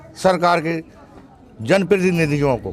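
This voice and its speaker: A man with a high pitch, amid noticeable background noise. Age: 60s. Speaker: farmer. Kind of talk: interview.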